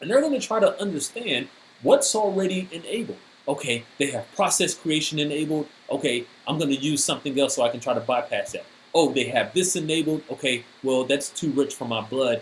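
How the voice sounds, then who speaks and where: Fairly quick and lively in intonation, a man with an ordinary speaking voice speaks at a fairly high pitch. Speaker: cybersecurity speaker. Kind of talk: technical presentation.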